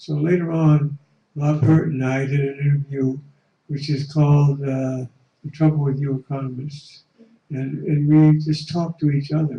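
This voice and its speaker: The tone is dark and mellow, somewhat breathy. The pace is moderate. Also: man, fairly high pitch for a man. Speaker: economist, audience member. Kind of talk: audience comment. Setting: conference room. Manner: halting.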